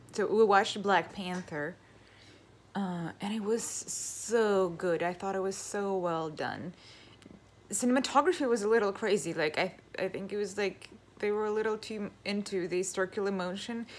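A woman speaks at a moderate pace. Her intonation is fairly even. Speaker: vlogger. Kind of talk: casual vlog chat. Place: home room. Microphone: phone near.

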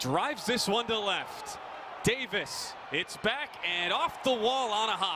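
Against noticeable background noise, a man with a high pitch talks at a very slow pace, using ordinary pitch variation. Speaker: baseball play-by-play commentator. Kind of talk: live sports commentary, highlight reel. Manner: clipped, punchy call-outs that swell on big hits and strikeouts.

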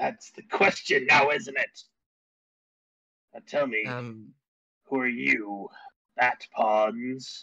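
A man's put-on character voice at medium pitch, very slow, with long, frequent pauses and big swings in loudness. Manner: mocking, sly.

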